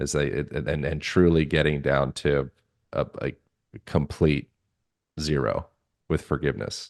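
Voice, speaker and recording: A man's very deep, low voice with vocal fry, monotone and flat, at a fairly slow pace with long, frequent pauses. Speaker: podcast host. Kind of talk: podcast interview questions.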